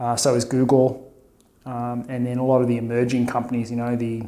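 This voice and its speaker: Over noticeable background noise, a man talks at a fairly quick pace. His medium-pitched delivery is monotone and flat. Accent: Australian. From Melbourne, Australia. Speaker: tech executive and academic. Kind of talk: interview.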